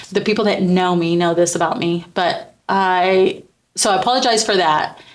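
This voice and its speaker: A woman speaks in a normal speaking voice at a medium pitch and moderate pace, her intonation fairly even and her loudness very even. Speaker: podcast host. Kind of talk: personal testimony in a faith podcast. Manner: casual, with many fillers and false starts.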